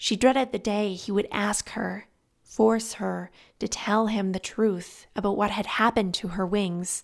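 Reading voice, unforced

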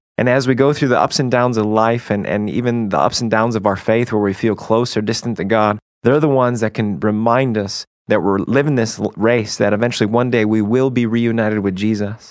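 A man with an ordinary speaking voice talks at a fairly quick pace, hardly pausing, at a medium pitch with ordinary pitch variation. His loudness stays very even against a quiet background. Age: 30s. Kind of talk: faith talk show discussion.

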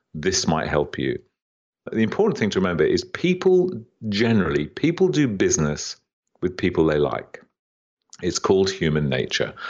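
A man talks at a moderate pace with vocal fry, his pitch swinging very widely. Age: 60s. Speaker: business author and entrepreneur. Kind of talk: interview.

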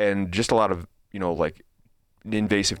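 A man speaks with a Chicago-area accent at a moderate pace. His intonation stays fairly even. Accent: Chicago-area Midwestern American. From Chicago suburbs, US Midwest. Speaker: podcast host. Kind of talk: casual chat.

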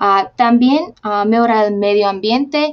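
Her fairly high voice moves at a fairly slow pace with ordinary pitch variation, the speaker being a woman. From Slovakia. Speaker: researcher on social responsibility. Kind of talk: interview. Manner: halting.

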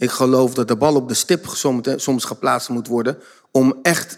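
This is a man with a normal speaking voice at a medium pitch. He keeps a moderate pace and ordinary pitch variation. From Netherlands, Zoetermeer (South Holland). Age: 50s. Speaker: behaviour trainer and author. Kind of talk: casual chat. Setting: stage with audience.

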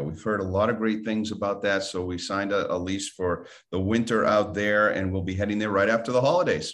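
Fairly quick in pace, this man talks. His pitch sits fairly low. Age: 60s. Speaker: podcast host and financial coach. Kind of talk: casual interview chat.

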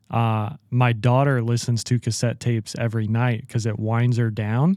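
A plain, everyday voice from a man at medium pitch, fairly slow pace and fairly even intonation, in a very clean, dry, close recording with a silent background and no echo. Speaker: podcast host. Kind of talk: interview conversation.

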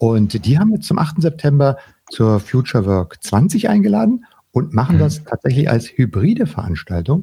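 The speaker's pitch swings very widely while loudness stays very even. The tone is dark and mellow with vocal fry, at a moderate pace. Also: man, medium pitch for a man. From West Berlin. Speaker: podcast host. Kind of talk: casual chat. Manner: hesitant, many fillers.

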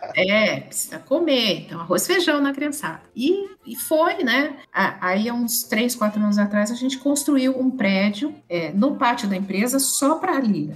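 Very wide pitch swings at a fairly slow pace, with hardly any pauses. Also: woman, high pitch for a woman. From Brazil, São Paulo city. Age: 50s. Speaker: pianist and businesswoman. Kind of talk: casual interview chat.

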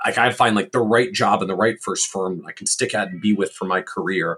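Here a man speaks in a normal speaking voice, pitched fairly low. He moves along at a fairly quick pace. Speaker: podcast host. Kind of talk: interview.

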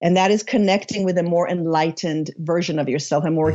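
A woman with a slight Israeli accent talks at a very fast pace. Her pitch is very deep and low, with ordinary variation. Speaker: spiritual author and coach. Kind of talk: interview. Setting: remote call.

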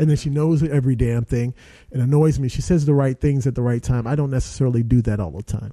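A very fast, dark, mellow voice with ordinary pitch variation. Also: man, medium pitch for a man. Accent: American. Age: 40s. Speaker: actor. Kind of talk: casual chat. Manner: animated.

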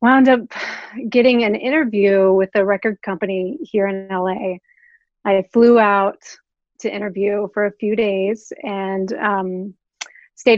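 A woman with an American accent, an unremarkable speaking voice, medium pitch and fairly even intonation. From Oklahoma. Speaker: record label creative director. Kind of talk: interview.

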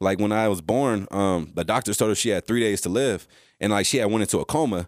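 In a plain, everyday voice, a man with an American accent talks at a fairly quick pace, his pitch fairly low with ordinary variation, the sound dry and close with no echo on a very clean recording with a silent background. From California. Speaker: former college football player. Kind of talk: casual chat. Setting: studio.

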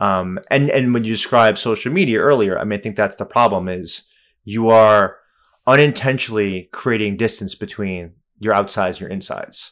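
Recorded very cleanly against a silent background, a normal speaking voice moves at a moderate pace with ordinary pitch variation. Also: man, fairly low pitch for a man. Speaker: professor. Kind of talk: casual interview.

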